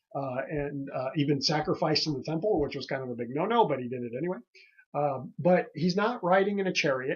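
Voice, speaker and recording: Somewhat breathy and fairly high in pitch, a man speaks at a moderate pace with ordinary pitch variation. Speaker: pastor. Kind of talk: casual sermon commentary podcast. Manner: relaxed, many fillers and hesitations.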